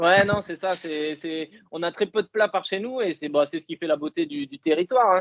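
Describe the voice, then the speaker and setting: A man talks at a moderate pace in a southwestern French accent, his voice high for a man. His pitch varies in an ordinary way while his loudness swings widely. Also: hardly any pauses. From southwest France, Dordogne (Bergerac). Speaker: elite marathon runner. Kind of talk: interview. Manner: hesitant, many fillers.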